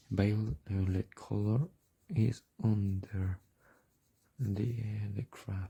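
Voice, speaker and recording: Very slow delivery with long, frequent pauses, somewhat breathy and dark, mellow in tone. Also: man, fairly low pitch for a man. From Mexico. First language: Spanish. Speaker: art tutorial creator. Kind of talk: tutorial. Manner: halting, many fillers.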